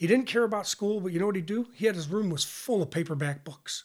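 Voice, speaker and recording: At a fairly quick pace, a man speaks with high pitch and ordinary pitch variation. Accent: American. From western New York. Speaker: retired university athletics academic administrator. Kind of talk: casual interview.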